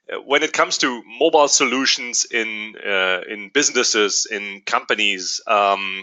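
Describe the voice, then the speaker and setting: A German accent at a fairly slow pace, with ordinary pitch variation. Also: man, medium pitch for a man. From Germany. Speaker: company executive. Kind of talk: webinar presentation. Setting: online webinar. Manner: hesitant, many fillers.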